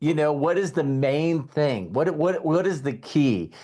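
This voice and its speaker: Against a quiet background, a man uses an ordinary speaking voice at a fairly high pitch. He talks at a moderate pace with lively intonation. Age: 60s. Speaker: network marketing leader. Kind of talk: mentorship talk on a group call. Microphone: sound is good.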